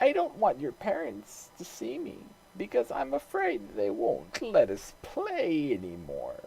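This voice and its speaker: A put-on character voice at a fairly slow pace. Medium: read story. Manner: soft, wheedling.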